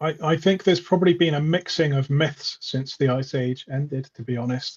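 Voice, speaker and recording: Somewhat breathy and fairly high in pitch, a man talks at a fairly quick pace. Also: ordinary pitch variation. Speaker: independent researcher. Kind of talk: interview chat. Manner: fast.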